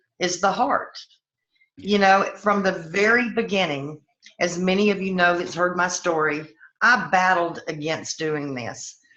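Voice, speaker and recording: A woman with a Southern US accent at a fairly slow pace. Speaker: network marketing business leader. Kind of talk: personal testimony on a team call.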